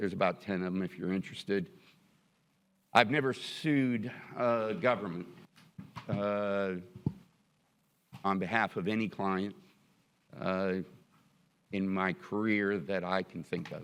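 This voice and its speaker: A man with a fairly low pitch and ordinary pitch variation speaks at a fairly slow pace, leaving long, frequent pauses. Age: 60s. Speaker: attorney, board applicant. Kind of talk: public meeting interview. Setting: city commission meeting chamber. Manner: halting, many fillers and restarts.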